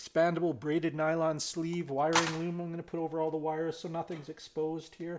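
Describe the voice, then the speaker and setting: A man speaks at a fairly quick pace. Noticeable background noise sits behind him. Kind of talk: tutorial. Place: workshop.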